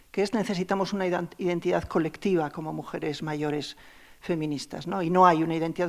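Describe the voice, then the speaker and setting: In a very clean recording with a silent background, a woman talks at a very fast pace with ordinary pitch variation. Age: 60s. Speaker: anthropologist. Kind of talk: panel discussion.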